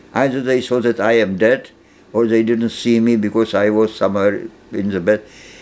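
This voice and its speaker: A man with a Czech accent and fairly even intonation. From Czechoslovakia. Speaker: Holocaust survivor; interviewee. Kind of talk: interview testimony; interview answer. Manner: halting, with repetitions. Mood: grave, matter-of-fact storytelling. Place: home room.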